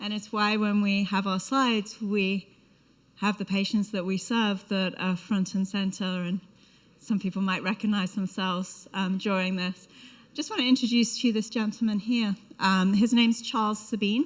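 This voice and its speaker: A somewhat breathy woman with a British accent, medium pitch, fairly even intonation and a moderate pace. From UK. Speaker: biotech company representative. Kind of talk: conference talk. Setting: conference stage with audience. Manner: hesitant with frequent fillers.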